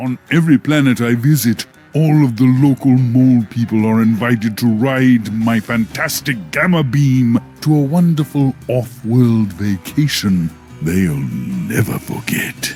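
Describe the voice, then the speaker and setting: Over clear background music, a man at a medium pitch puts on a character voice. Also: fairly slow pace. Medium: video game. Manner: grandiose, falsely friendly, chuckling.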